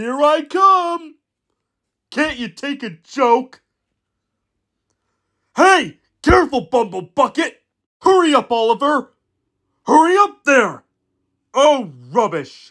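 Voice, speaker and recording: Someone uses a put-on character voice with a high pitch, talking at a fairly slow pace with long, frequent pauses on a very clean recording with a silent background. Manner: brash, bossy.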